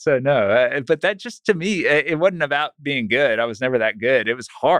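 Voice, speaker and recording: Using a normal speaking voice, a man with a fairly high pitch talks at a moderate pace with lively intonation. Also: hardly any pauses. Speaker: accountant and financial planner. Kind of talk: casual interview chat. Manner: conversational, laughs often.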